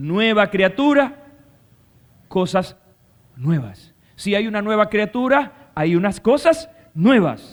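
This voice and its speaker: A man speaks very slowly at a high pitch with very wide pitch swings. He leaves long, frequent pauses. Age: 60s. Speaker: pastor. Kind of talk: sermon.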